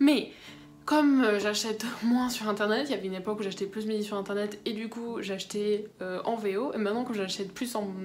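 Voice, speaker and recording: With audible room echo and noticeable background noise, a woman speaks at a fairly high pitch with fairly even intonation. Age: young. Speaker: book vlogger. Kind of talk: casual vlog talk. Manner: hesitant, many fillers.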